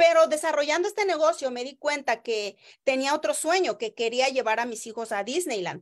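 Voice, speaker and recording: Over a quiet background, a woman with a high pitch talks at a moderate pace with lively intonation. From Oaxaca, Mexico (rural village). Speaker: network marketing distributor; direct sales promoter. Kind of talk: sales pitch livestream. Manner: animated. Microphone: video call.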